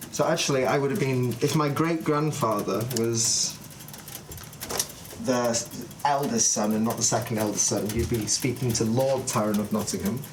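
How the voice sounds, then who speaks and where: With audible room echo and noticeable background noise, a man talks at very even loudness and ordinary pitch variation. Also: medium pitch for a man, moderate pace. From UK, moved around (Wales, Scotland, Manchester). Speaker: craft apprentice. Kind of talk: casual chat on livestream.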